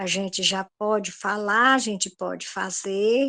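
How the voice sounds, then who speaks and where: A woman speaks at a very slow pace with fairly even intonation against a quiet background. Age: 60s. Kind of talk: group discussion.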